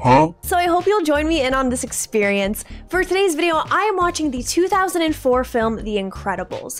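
A high-pitched woman speaks at a moderate pace with hardly any pauses. Faint music plays in the background. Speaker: streamer, movie reactor. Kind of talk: casual vlog chat. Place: home room. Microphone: studio mic.

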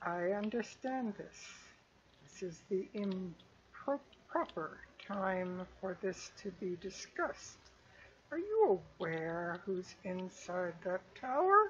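Very slow pacing in a put-on character voice. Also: female-sounding voice, medium pitch for a woman. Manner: speaking through clenched teeth, lips barely moving; persuasive, urgent.

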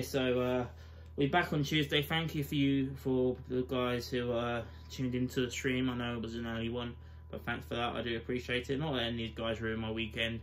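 There is light background noise as a man speaks fairly quickly. His intonation is lively. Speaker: fan channel host. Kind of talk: angry post-match rant. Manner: fired-up, swearing, exasperated; blunt, rapid-fire verdicts. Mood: deflated, disappointed. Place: home room. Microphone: webcam.

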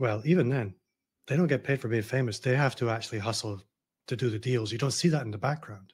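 Very fast, somewhat breathy speech from a man with a Glasgow accent and ordinary pitch variation. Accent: Scottish (Glasgow). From Scotland, Glasgow. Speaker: personal branding consultant. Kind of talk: casual interview conversation. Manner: easygoing. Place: home room.

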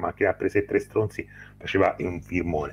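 A man in a Tuscan accent at a fairly quick pace. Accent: noticeable Livorno Tuscan. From Tuscany, Livorno; Tuscany. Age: 40s. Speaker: film critic YouTuber. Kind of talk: casual chat. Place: home room. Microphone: video call.

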